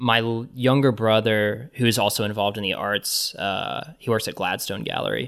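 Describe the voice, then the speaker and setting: A normal speaking voice with an American accent at a moderate pace, with hardly any pauses and ordinary pitch variation. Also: man, medium pitch for a man. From Kansas (Johnson County), US Midwest. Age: 30s. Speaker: artist and curator. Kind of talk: casual interview.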